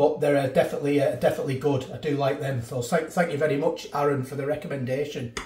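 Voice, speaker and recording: Audible room echo surrounds a man talking at a fairly quick pace. His voice is somewhat breathy, and his intonation stays fairly even. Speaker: food reviewer. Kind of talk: casual vlog chat. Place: kitchen. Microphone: phone near.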